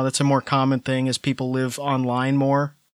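A man with an ordinary speaking voice and a fairly high pitch talks at a moderate pace in a very clean recording with a silent background. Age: 30s. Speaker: podcast co-host. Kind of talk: casual chat.

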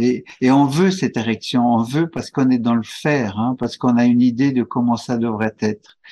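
At a moderate pace, a man with a dark, mellow tone and medium pitch speaks with fairly even intonation against a quiet background. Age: 70s. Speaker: couples retreat facilitator. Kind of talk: interview. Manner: halting.

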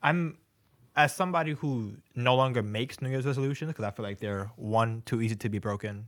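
A man with an American accent speaks at a fairly quick pace in a normal speaking voice, medium in pitch with ordinary pitch variation, on a very clean recording with a silent background. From New York. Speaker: podcast co-host. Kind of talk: casual chat.

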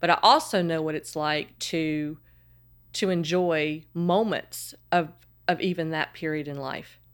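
A woman with a Southern US accent at a fairly low pitch and a fairly slow pace, her intonation fairly even, on a very clean recording with a silent background. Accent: Southern American. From US South, Charlotte, North Carolina. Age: 50s. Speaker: fashion blogger and podcaster. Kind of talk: casual interview chat.

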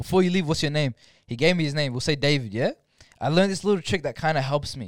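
A man with an Australian accent at a very fast pace, fairly high pitch and lively intonation, very clean recording with a silent background, dry, close sound with no echo. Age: 20s. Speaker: podcast guest, storyteller. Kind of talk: casual chat.

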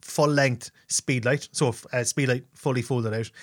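On a very clean recording with a silent background, a man's voice is heard. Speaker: photographer and podcaster. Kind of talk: casual solo Q&A. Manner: fast talker; informal, chatty.

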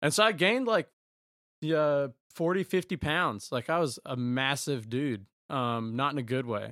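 A man speaks with a Southern US accent at a medium pitch, with ordinary pitch variation. The recording is very clean and silent behind him, with a dry, close sound and no echo. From rural eastern North Carolina. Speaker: former college baseball player. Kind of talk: casual interview.

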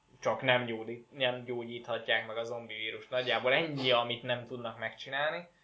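This man talks at a moderate pace with hardly any pauses, his pitch medium and his intonation monotone and flat. Noticeable background noise sits behind him. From Szeged, southern Hungary. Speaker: podcast co-host, gamer. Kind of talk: casual chat.

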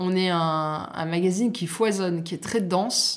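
The voice shows ordinary pitch variation, and audible room echo surrounds it. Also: woman. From southern France, Côte d'Azur. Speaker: magazine editor-in-chief and chef. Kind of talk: interview.

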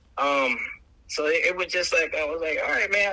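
A man keeps a moderate pace while noticeable background noise is heard behind him. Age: 40s. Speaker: clothing brand founder. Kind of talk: casual chat.

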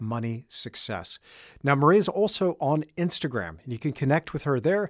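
A man talks with very wide pitch swings. The sound is dry and close with no echo, on a very clean recording with a silent background. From Australia (Perth), born in Texas. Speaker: podcast host and artist. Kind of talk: casual interview chat; scripted outro.

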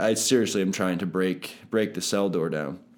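A man with an ordinary speaking voice, fairly low pitch and an American accent, at a moderate pace. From Pennsylvania (Palmyra). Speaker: personal trainer. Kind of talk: testimony.

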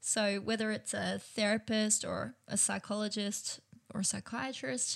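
Speaking at a fairly slow pace, a woman sounds somewhat breathy at a fairly high pitch. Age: 30s. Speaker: podcast host. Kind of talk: solo self-help podcast talk.

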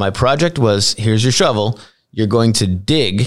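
With a plain, everyday voice, a man speaks at a moderate pace and fairly low pitch with ordinary variation, on a very clean recording over a silent background. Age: 40s. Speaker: podcast host. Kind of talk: interview conversation.

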